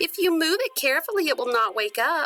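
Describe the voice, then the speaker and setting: A woman puts on a squeaky character voice at an extremely high pitch, her pitch swinging very widely at a fairly quick pace, her loudness very even, with faint music in the background. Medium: read story.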